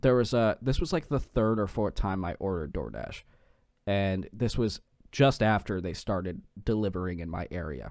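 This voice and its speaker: In a very clean recording with a silent background, a plain, everyday voice moves at a moderate pace with lively intonation. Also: man, fairly low pitch for a man. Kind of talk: casual chat. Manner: profane, joking.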